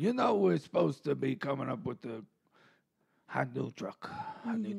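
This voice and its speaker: A man does a raspy put-on character voice at a medium pitch and a moderate pace. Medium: comedy sketch. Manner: rambling, halting, full of fillers.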